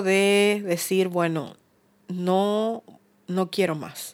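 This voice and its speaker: The recording is very clean, and the background is silent. A woman talks very slowly. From Uruguay. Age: 50s. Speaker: recovered addict sharing her story. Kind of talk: testimony.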